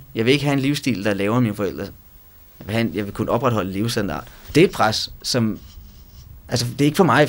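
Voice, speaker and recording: With vocal fry and very wide pitch swings, a man speaks at a very fast pace in a medium pitch. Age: 20s. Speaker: student. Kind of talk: interview testimony.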